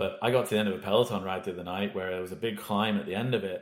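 With a Welsh accent, a man talks at a very fast pace in a fairly low pitch. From Wales, small town. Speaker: HR executive. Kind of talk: casual interview.

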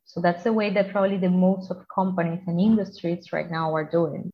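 A woman with a Spanish accent speaks at a moderate pace and medium pitch, somewhat breathy, with monotone, flat intonation. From Colombia. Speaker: environmental engineer. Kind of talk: interview.

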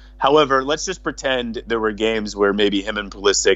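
A man with an American accent, over noticeable background noise. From Boston, Massachusetts. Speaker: football social media commentator. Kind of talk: casual chat. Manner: assertive, confident.

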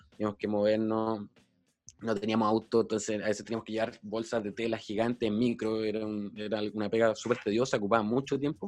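The voice comes with a Chilean accent at a fairly quick pace. Its intonation is monotone and flat. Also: man. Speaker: DJ and party organizer. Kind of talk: casual chat.

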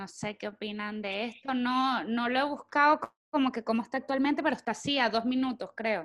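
Speaking fairly quickly, a woman uses a high pitch with ordinary pitch variation. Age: 30s. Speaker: podcast co-host. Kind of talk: casual chat.

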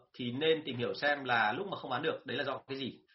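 With a fairly high pitch, a man lets it rise and fall in an ordinary way. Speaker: sales trainer. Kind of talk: live-stream talk and Q&A. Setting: online live stream. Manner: fluent, rarely stumbles.

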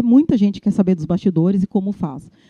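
Somewhat breathy, dark and mellow woman's voice at a medium pitch and moderate pace, with ordinary pitch variation and a dry, close sound with no echo. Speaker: Instagram influencer and e-commerce manager. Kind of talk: interview. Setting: recorded at an agency. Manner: animated.

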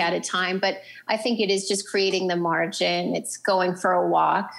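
With an American accent, a woman speaks at a medium pitch with vocal fry. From North Dakota. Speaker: writer and nonprofit co-founder. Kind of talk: casual interview. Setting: remote call from a public library.

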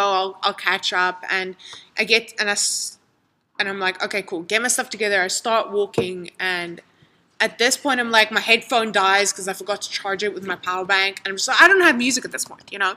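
Over a silent background in a very clean recording, a woman speaks at a medium pitch and a fairly quick pace. Her tone is bright and sharp, her intonation fairly even. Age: 20s. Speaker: photographer. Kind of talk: casual chat.

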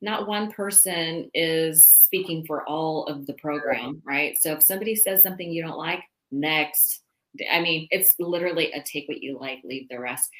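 A woman with an American accent speaks at a moderate pace in an ordinary speaking voice, fairly low in pitch with ordinary pitch variation. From California. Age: 50s. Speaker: sobriety coach and podcast host. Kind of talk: casual interview chat.

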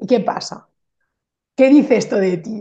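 A woman with a dark, mellow, somewhat breathy voice speaks at a moderate pace with lively intonation. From Spain, Barcelona. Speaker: Spanish teacher and mentor. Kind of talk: casual interview chat. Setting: call.

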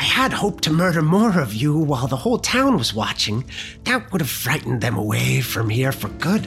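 A man speaks in a put-on character voice with clear music in the background. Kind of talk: theatrical narrated dialogue. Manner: cackling, gloating, wicked.

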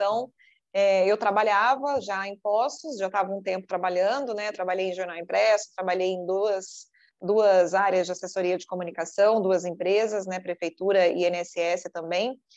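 In an ordinary speaking voice, a woman of medium pitch talks at a moderate pace against a quiet background. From Brazil, southern Minas Gerais. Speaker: TV news anchor and journalist. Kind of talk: interview.

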